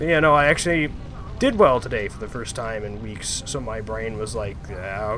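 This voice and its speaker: A man speaks with ordinary pitch variation. Audible room echo and noticeable background noise are present. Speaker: gaming streamer. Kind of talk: casual chat. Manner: vocal tics.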